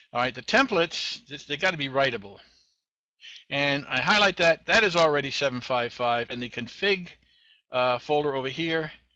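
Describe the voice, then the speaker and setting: Lively intonation and a bright, sharp tone mark this voice, which speaks at a moderate pace in a Boston accent. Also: man, fairly high pitch for a man. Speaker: web tech show host. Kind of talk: screen-share tutorial. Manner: casual, halting with fillers.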